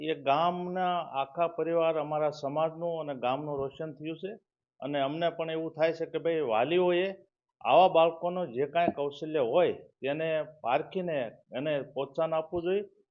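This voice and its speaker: A man with an ordinary speaking voice talks at a fairly high pitch with fairly even intonation. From Gujarat, Botad district village. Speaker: village resident. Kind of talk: interview.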